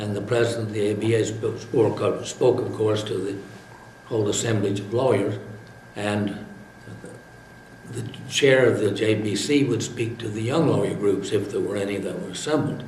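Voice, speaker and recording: A man with an American accent and fairly low pitch speaks at a moderate pace, with fairly even intonation and long, frequent pauses, amid audible room echo and noticeable background noise. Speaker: retired lawyer. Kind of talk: interview. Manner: halting, frequent uh fillers.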